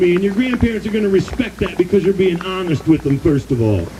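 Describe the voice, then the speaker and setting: A loud, very fast man's voice, high in pitch with ordinary pitch variation, in an American accent over noticeable background noise. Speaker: activist speaker / rally emcee. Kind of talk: rally speech. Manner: animated.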